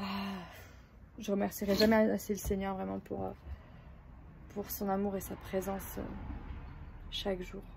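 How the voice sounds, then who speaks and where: Long pauses come often in this fairly slow delivery. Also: woman. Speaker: family vlogger. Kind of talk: casual vlog. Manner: hesitant, many fillers.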